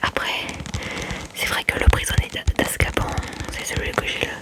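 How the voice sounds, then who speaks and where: Noticeable background noise around a whispering woman. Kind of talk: ASMR book haul talk to camera. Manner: whispered.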